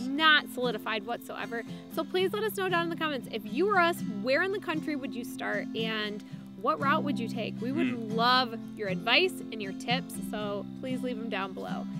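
Over clear music in the background, a woman talks at a moderate pace in a dry sound with no echo. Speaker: family travel vlogger. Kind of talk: casual vlog chat. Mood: upbeat, laughing. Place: open country.

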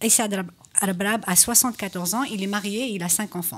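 Somewhat breathy, a woman speaks at a medium pitch with ordinary pitch variation. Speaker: radio talk show host; radio show host. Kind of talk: political panel discussion. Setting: radio studio, live. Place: studio. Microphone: studio mic.

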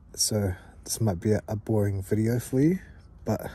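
A man's somewhat breathy, dark, mellow tone at a fairly slow pace, dry with no echo. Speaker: camping vlogger. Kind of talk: casual vlog chat. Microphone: phone near.

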